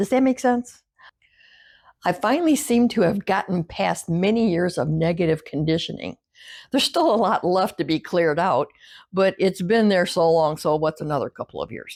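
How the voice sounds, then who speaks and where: On a very clean recording with a silent background, a woman in a normal speaking voice talks at a moderate pace and medium pitch with lively intonation, the sound dry and close with no echo. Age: 60s. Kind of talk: casual talk to camera. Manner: reflective.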